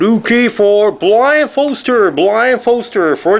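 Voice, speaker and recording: Very slow speech from a man with a Japanese accent and lively intonation. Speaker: trading card box break youtuber. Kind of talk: card unboxing commentary. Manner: animated. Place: home room. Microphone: camera far.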